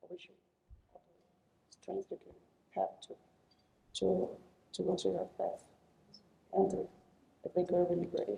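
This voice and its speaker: A woman with a Brazilian Portuguese accent, at a moderate pace, with long, frequent pauses and big swings in loudness. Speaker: computer scientist, panelist. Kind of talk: panel discussion. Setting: conference stage with audience. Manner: halting, many fillers and repetitions.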